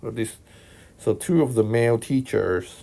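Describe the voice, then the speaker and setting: A man with a Hong Kong accent speaks in a dark, mellow tone with ordinary pitch variation. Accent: Hong Kong accent, noticeable. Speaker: math tutor. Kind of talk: tutorial. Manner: casual, hesitant with fillers.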